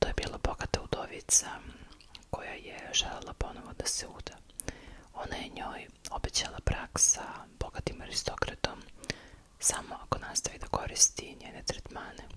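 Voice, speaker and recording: The speaker is whispering, with big swings in loudness. Noticeable background noise is audible. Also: woman. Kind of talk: ASMR history storytelling. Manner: soft-spoken.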